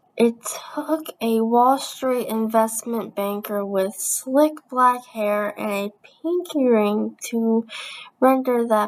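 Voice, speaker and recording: A woman with a fairly high pitch speaks at a very slow pace. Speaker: YouTuber reading a book aloud. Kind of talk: reading aloud. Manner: halting, stumbles on words.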